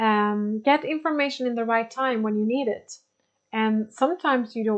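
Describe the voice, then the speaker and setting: A woman speaks with a Swedish accent. Her pace is moderate and her intonation fairly even. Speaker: spiritual teacher. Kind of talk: lecture. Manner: halting.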